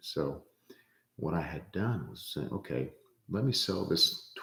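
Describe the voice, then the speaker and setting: Lively intonation and vocal fry from a man speaking at a very slow pace. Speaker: real estate investor vlogger. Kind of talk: casual vlog monologue. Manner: hesitant, many fillers.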